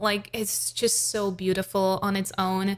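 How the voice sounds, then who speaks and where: A woman's medium-pitched voice with a non-native accent at a fairly slow pace, in a very clean recording with a silent background. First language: not English. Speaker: vocal coach and singer. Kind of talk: reaction commentary. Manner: casual, with hesitations.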